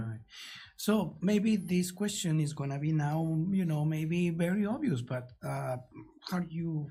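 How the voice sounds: With a strong non-native accent, the speaker goes at a fairly slow pace with long, frequent pauses. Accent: strong foreign accent in English.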